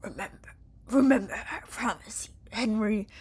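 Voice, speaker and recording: A female-sounding, put-on character voice delivers the lines at a fairly high pitch. The pace is moderate. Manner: menacing, creepy.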